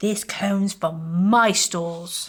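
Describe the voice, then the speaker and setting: A woman does a put-on character voice at a medium pitch. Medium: read story. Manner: grabby, insistent.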